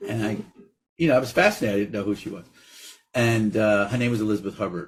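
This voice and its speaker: Someone talks at a very fast pace with an American accent. The voice is somewhat breathy. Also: man, fairly low pitch for a man, ordinary pitch variation. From New York, Brooklyn. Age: 50s. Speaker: actor and director. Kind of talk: interview. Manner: animated.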